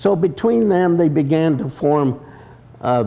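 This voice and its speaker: With lively intonation and a dark, mellow tone, a man talks at a fairly slow pace. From Utah, Salt Lake City. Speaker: addiction recovery speaker. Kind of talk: talk to recovery audience.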